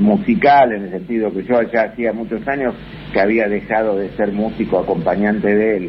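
A man's lively intonation comes through despite noticeable background noise. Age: 70s. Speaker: musician. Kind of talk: interview. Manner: halting.

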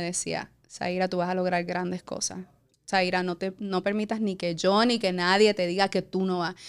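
Very clean recording, silent background. A woman with a normal speaking voice talks at a medium pitch and a moderate pace. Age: 40s. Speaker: entrepreneur. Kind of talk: interview, personal story.

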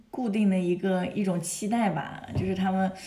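A woman of medium pitch at a moderate pace, with audible room echo and noticeable background noise. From China. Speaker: model, translator and music student. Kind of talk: casual interview chat. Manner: hesitant, many fillers.

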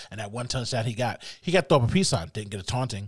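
The speaker sounds animated and excited, talking at a very fast pace with very wide swings in pitch. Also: man, very clean recording, silent background. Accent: American. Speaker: sports podcast host. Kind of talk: casual sports commentary monologue. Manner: animated, excited; shrieking at times.

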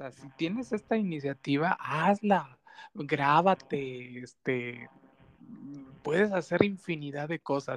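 A normal speaking voice with lively intonation at a fairly slow pace, in a dry, close sound with no echo. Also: man. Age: 30s. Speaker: podcast host. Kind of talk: interview.

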